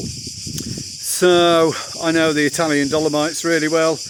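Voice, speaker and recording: Someone speaks with a British accent at a fairly slow pace. Noticeable background noise runs under the voice. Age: 60s. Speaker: cycling vlogger. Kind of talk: casual vlog narration while cycling. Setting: outdoors on a bike ride.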